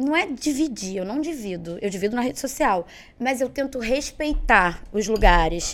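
A woman talks at a moderate pace with a fairly high pitch. Her voice makes very wide pitch swings. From Belo Horizonte, Minas Gerais, Brazil; moved to Rio at 11. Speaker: entrepreneur and sales mentor. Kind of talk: casual interview.

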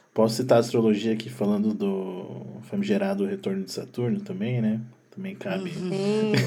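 Over noticeable background noise and audible room echo, a man talks at a moderate pace with a medium pitch and very wide pitch swings. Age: 30s. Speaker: sound producer. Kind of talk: casual chat.

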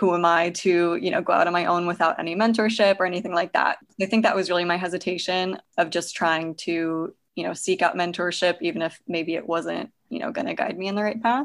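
Speaking at a fairly quick pace with hardly any pauses, a woman uses a plain, everyday voice pitched fairly low with ordinary pitch variation. The background is quiet. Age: 20s. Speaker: physical therapist and running coach. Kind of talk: casual interview.

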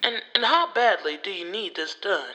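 A woman uses a put-on character voice that is raspy and fairly high in pitch, with very wide pitch swings. She keeps a moderate pace. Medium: read story. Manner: curt, grumpy.

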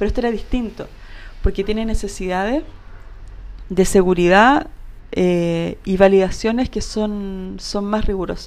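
A woman's medium-pitched voice at a fairly slow pace, broken by long, frequent pauses. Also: ordinary pitch variation. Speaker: industrial designer and entrepreneur. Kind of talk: casual interview.

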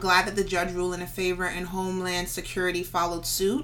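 A woman with an American accent, medium in pitch and fairly quick, with audible room echo. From New York, the Bronx. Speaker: podcast co-host. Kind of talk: casual chat.

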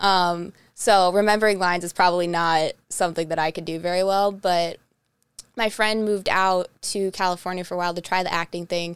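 Speaking fairly quickly with a Northeast Ohio accent, a woman of medium pitch keeps her intonation fairly even in a very clean recording with a silent background. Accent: Midwestern American (Northeast Ohio). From Ohio, Twinsburg near Cleveland. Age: 20s. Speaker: podcast host. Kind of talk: casual chat.

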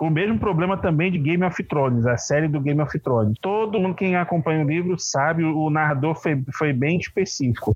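At a moderate pace with hardly any pauses, a man talks in a fairly high pitch for a man, with ordinary pitch variation and very even loudness. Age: 30s. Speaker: tabletop RPG game master. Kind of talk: casual interview. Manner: halting, many repetitions.

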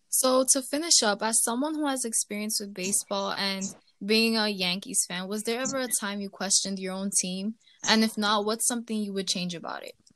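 A woman with an American accent has a normal speaking voice and a fairly high pitch. She talks at a fairly quick pace with ordinary pitch variation. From New York, the Bronx. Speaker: student podcast host. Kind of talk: casual podcast narration and interview.

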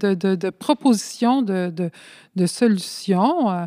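A woman with a medium-pitched, dark, mellow voice speaks very slowly with lively intonation, in a very clean recording with a silent background and a dry, close sound without echo. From Montreal, Quebec, Spanish immigrant community. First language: Spanish (speaking French). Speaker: community activist and sociology student. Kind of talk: interview. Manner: halting, many hesitations.

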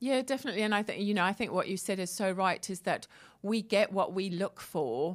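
A woman talks at a fairly quick pace in an ordinary speaking voice with medium pitch. The recording is very clean, with a silent background. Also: ordinary pitch variation. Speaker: co-host and coach. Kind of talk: radio talk show chat. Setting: radio studio with headset.

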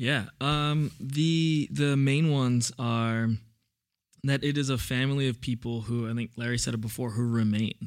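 A plain, everyday voice from a man, medium in pitch, at a fairly slow pace with fairly even intonation. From New York City (Brooklyn). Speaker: church youth director. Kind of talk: casual chat.

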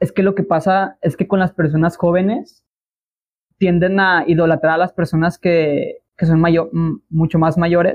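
In a Mexican accent, a man speaks in a high pitch with monotone, flat intonation and very even loudness. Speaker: podcast host. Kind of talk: casual chat.

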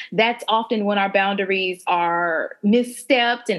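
An ordinary speaking voice from a woman, fairly slow in pace, with ordinary pitch variation. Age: 30s. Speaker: podcast host and life coach. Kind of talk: group discussion.

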